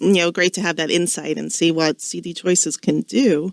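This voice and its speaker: With an American accent, a woman talks at a medium pitch in a dry, close sound with no echo, on a very clean recording with a silent background. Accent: Long Island, slight, comes out sometimes. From Long Island, New York. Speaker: radio host, estate law. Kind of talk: radio interview. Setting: radio studio.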